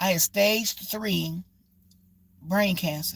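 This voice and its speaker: This woman's voice is somewhat breathy. Her pitch sits fairly low. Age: 60s. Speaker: livestreamer. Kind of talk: motivational livestream talk. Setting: livestream.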